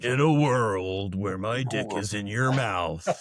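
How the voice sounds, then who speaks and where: Using a put-on character voice, a man speaks at a fairly low pitch and a fairly slow pace over clear background noise. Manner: exaggerated, mocking.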